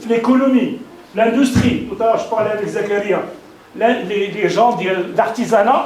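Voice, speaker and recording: A man speaks with an extremely high pitch and an animated tone. The recording has audible room echo and noticeable background noise. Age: 60s. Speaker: company executive. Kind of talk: welcome speech to business partners. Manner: halting.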